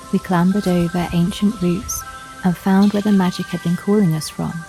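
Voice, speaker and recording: Over music in the background, a woman at a medium pitch talks in a calm tone at a moderate pace, with fairly even intonation. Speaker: witch-themed ASMR storyteller. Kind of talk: ASMR folklore storytelling, first-person forest narration. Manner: soft-spoken, calm, relaxing.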